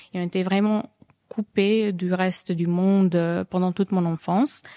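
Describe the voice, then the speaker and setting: Very slow and fairly even in intonation, a woman with a dark, mellow tone speaks at a medium pitch in a dry, close recording with no echo, very clean with a silent background. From Serbia. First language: Serbian (speaking French). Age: 30s. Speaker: comic book author. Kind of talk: radio interview. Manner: hesitant, many fillers.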